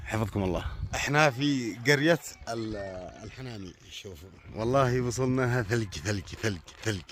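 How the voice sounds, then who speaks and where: The speaker talks at a moderate pace in a Yemeni accent. Loudness swings widely, and the intonation is lively. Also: man, medium pitch for a man. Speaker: poet and video blogger. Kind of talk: casual vlog commentary. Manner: animated.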